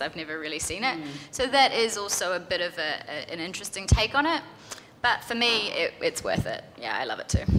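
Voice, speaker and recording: Over noticeable background noise, a woman speaks fairly quickly at a medium pitch, her voice making very wide pitch swings. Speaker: software developer. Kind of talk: conference panel answers.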